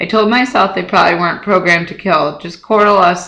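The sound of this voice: The text is spoken aloud. The reading voice sounds unforced.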